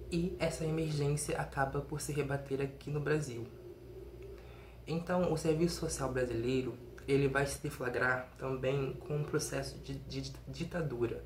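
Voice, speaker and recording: A man talks fairly slowly while audible room echo and noticeable background noise fill the recording. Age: 20s. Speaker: undergraduate researcher. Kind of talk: recorded conference presentation. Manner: some hesitations and self-corrections.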